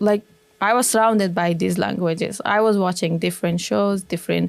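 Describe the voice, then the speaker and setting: Speaking with an Afghan accent, the voice keeps a fairly even intonation and very even loudness. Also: woman, medium pitch for a woman, fairly quick pace. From Afghanistan, Kabul. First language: Dari. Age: young. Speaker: former military interpreter, refugee. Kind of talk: interview. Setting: studio.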